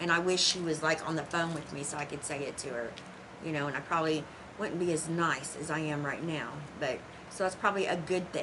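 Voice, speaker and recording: With an American accent and a very deep, low pitch, a woman speaks at a fairly quick pace amid audible room echo and noticeable background noise. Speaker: tarot teacher. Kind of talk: casual monologue to viewers. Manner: animated, with hand talking; occasional stutter.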